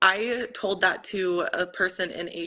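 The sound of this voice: A woman speaks at a slow pace with a bright, sharp tone and ordinary pitch variation.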